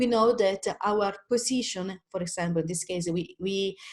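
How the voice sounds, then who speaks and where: A woman with an Italian accent speaks with ordinary pitch variation. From Italy. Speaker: independent trader, webinar presenter. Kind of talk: webinar tutorial. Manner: halting, many fillers and restarts.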